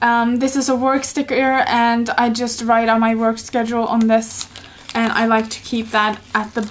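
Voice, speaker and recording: Over noticeable background noise, a woman with a Norwegian accent speaks at a fairly slow pace in a fairly high pitch. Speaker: YouTuber, planner hobbyist. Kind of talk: tutorial. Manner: hesitant, many fillers.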